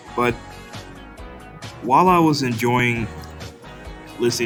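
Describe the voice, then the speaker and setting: A man's medium-pitched voice with lively intonation, music in the background. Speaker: music commentary youtuber. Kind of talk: commentary talk to camera.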